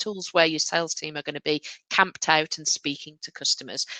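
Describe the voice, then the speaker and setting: A woman with a slight Midlands accent, fairly low in pitch, moderate in pace, with ordinary pitch variation and a dry, close sound with no echo. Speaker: software company sales director. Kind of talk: webinar Q&A. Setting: online webinar.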